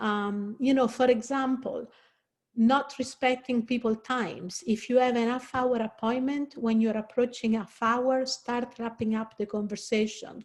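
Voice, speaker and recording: A woman with a high pitch speaks at a fairly slow pace in an Italian accent, her intonation monotone and flat. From Italy. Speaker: career counselor. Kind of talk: presentation. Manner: conversational, with fillers.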